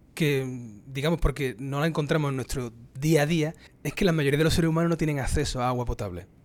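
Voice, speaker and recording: A man with an unremarkable speaking voice, fairly high pitch, ordinary pitch variation and a fairly quick pace. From Spain, Andalusia (Cádiz). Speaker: microbiologist professor. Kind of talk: casual interview.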